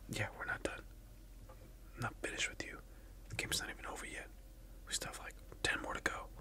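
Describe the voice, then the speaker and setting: A man whispers. He talks at a very fast pace. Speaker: content creator. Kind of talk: roleplay skit addressed to the viewer. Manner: soft close-mic ASMR voice, petulant. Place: home room.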